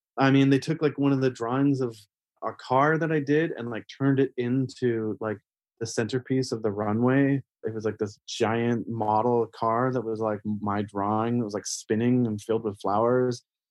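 A man with a Canadian accent talks in a normal speaking voice, at medium pitch and a moderate pace. His intonation stays fairly even. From Canada. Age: 40s. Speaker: painter. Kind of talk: casual interview.

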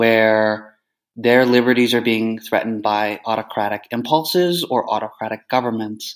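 A man's normal speaking voice in a Canadian accent, medium in pitch and moderate in pace, on a very clean recording with a silent background. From Canada. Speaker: journalist. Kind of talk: interview.

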